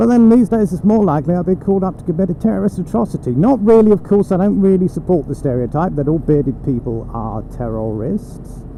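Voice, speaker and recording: Through noticeable background noise, a man with an Essex accent talks very fast in a high voice with very wide pitch swings. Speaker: motorcycle vlogger. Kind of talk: casual talk while riding. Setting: outdoors, in a helmet with wind noise. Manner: rambling, sweary.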